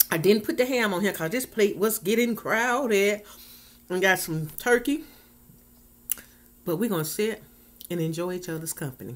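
At a moderate pace, a woman speaks with lively intonation and long, frequent pauses. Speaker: food vlogger. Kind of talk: casual vlog chat. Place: home room. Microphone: webcam.

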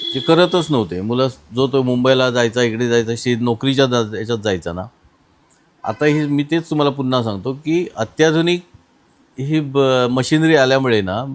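A man speaks with an unremarkable speaking voice at a medium pitch. His pitch varies in an ordinary way. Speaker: farm machinery business owner. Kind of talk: interview.

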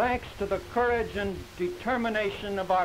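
A man with an American accent, high in pitch with ordinary variation, at a fairly slow pace over light background noise. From Milwaukee, Wisconsin. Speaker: civic committee official. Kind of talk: ceremonial public speech. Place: open country. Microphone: podium.

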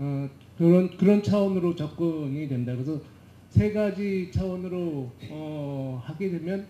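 There is audible room echo as a man speaks at a high pitch with ordinary pitch variation. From South Korea. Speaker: management consultant; panelist. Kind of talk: panel discussion. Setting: conference stage with audience. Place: hall. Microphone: handheld.

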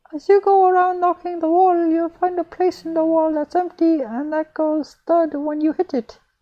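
A man puts on a character voice, squeaky and at an extremely high pitch. He keeps a moderate pace with hardly any pauses. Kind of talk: horror story reading. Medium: read story. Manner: chatty.

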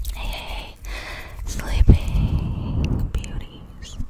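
The voice is soft-spoken, delivered in a whisper. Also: woman. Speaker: ASMR creator. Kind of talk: ASMR whisper chat. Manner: soft close-mic ASMR whisper. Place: home room. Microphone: studio mic.

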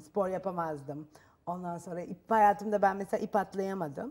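Over a quiet background, a woman speaks in a dark, mellow tone. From Turkey. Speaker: talk show guest. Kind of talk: TV talk show interview. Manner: halting, with fillers. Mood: calm, reflective. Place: studio. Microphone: lapel.

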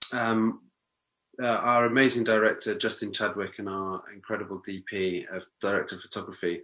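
Against a quiet background, a man is talking. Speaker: actor interviewed about a TV series. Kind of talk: interview answer. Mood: warm, enthusiastic. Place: home room. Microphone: video call.

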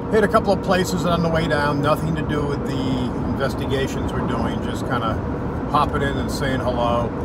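Loud noise fills the background while a man speaks at a moderate speed. No echo colors the dry sound. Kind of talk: casual vlog chat. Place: car. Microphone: phone near.

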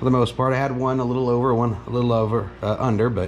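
Relaxed in tone, a man with a medium pitch talks at a moderate pace over noticeable background noise. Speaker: home mechanic. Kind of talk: casual talk to camera. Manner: relaxed, halting with fillers.

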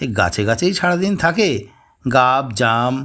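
Plain reading aloud fills this clip. The intonation is lively.

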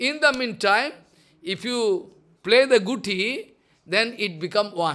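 A raised, projected voice with a bright, sharp tone and lively intonation, very slow in pace, over a quiet background. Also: man, high pitch for a man. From India. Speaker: spiritual teacher. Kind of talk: religious discourse. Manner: repetitive. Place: home room. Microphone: studio mic.

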